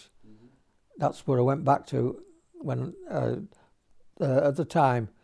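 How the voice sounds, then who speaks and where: With a dark, mellow tone, a man speaks at a fairly high pitch and a moderate pace. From St Helens, Merseyside, England. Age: 80s+. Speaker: pensioner, former soldier. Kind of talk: interview answer.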